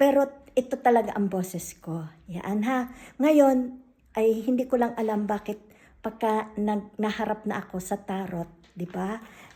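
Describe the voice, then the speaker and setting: A woman's somewhat breathy, dark, mellow voice, fairly high in pitch, with ordinary pitch variation at a fairly slow pace. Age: 60s. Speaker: tarot reader. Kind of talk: casual vlog announcement.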